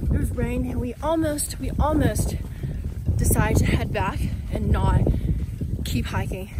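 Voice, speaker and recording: A woman speaks at a moderate pace in a dry recording with no echo, over loud background noise. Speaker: travel vlogger. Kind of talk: casual vlog chat. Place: open country. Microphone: phone near.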